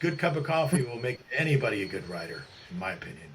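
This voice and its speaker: Somewhat breathy, a man of medium pitch speaks with lively intonation and an American accent. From upstate New York. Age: 60s. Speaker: journalist and author. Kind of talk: interview conversation. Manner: halting, many restarts and fillers.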